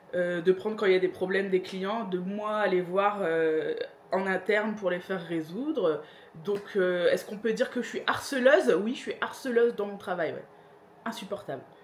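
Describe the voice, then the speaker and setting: A woman's medium-pitched voice at a moderate pace with ordinary pitch variation, amid noticeable background noise. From northern France, Pas-de-Calais. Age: 30s. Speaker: vlogger. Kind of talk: casual Q&A vlog. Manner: hesitant, many fillers.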